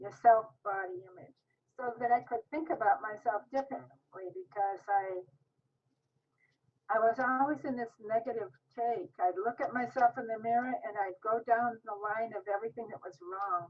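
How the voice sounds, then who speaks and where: This woman has an unremarkable speaking voice with fairly high pitch and ordinary pitch variation. She talks at a moderate pace, with big swings in loudness. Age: 60s. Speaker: diet program participant. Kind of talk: interview.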